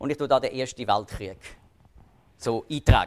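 The sound is dry and close with no echo as a man speaks with a Swiss accent. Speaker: lecturer on Bible prophecy. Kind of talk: public lecture.

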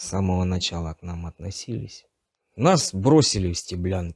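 A man with a very deep, low pitch and a somewhat breathy voice speaks at a fairly slow pace with ordinary pitch variation, in a dry sound with no echo and a quiet background. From Donetsk region, eastern Ukraine; Ukraine. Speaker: captured conscript soldier; interviewee. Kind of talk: interview testimony. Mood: subdued, tense. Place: empty room.

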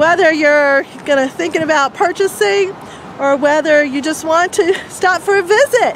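Over light background noise, a woman's extremely high voice carries lively intonation in a dry sound with no echo. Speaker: local area guide. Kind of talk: casual vlog chat. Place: street. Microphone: phone near.

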